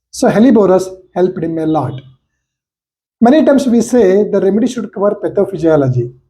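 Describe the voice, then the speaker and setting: Speaking in a Karnataka accent, a man with a high pitch and a dark, mellow tone talks fairly quickly, his pitch swinging very widely between long, frequent pauses. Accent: Indian English (Kannada). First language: Kannada. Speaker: homeopathy lecturer and doctor. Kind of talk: case-study lecture. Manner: halting, with fillers.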